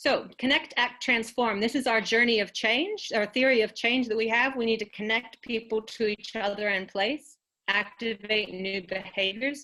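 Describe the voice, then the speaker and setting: Speaking in an unremarkable speaking voice with an American accent, a woman keeps a moderate pace, fairly high pitch, fairly even intonation, and hardly any pauses. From United States. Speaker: executive officer of an environmental non-profit. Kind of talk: presentation.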